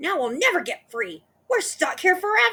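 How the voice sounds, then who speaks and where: A put-on character voice shouts at a moderate pace. It sounds shrill, with very wide pitch swings. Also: female-sounding voice. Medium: read story. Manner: shrill, screaming.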